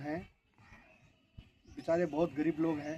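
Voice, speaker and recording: Dark and mellow in tone, a man's high-pitched voice stays monotone and flat. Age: 80s+. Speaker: retired border force soldier. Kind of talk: interview testimony.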